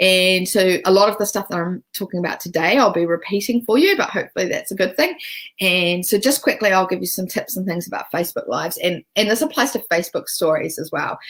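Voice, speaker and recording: A woman with a New Zealand accent talks at a very fast pace with ordinary pitch variation. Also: medium pitch for a woman, very clean recording, silent background. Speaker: social media business coach. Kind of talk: live-streamed training. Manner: casual, with many fillers.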